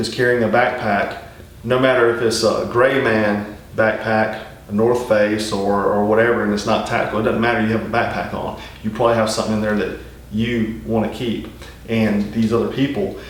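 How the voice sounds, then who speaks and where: A man speaks at a moderate pace and medium pitch, with fairly even intonation. There is audible room echo and noticeable background noise. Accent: strong Southern US. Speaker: survival channel host. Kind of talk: casual instructional talk. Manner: conversational, many fillers.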